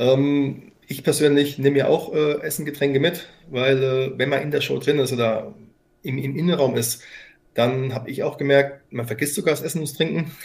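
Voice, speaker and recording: A man speaks at a moderate pace with a somewhat breathy voice. His pitch is fairly high and his intonation fairly even. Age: 40s. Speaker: company founder and CEO. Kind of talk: interview. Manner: halting.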